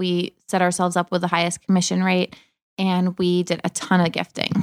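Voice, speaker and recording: A woman with an American accent and a medium pitch speaks at a moderate pace in a flat, monotone way, in a very clean, dry, close recording with no echo and a silent background. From Massachusetts, Cape Cod. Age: 30s. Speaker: lifestyle blogger. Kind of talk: casual interview chat.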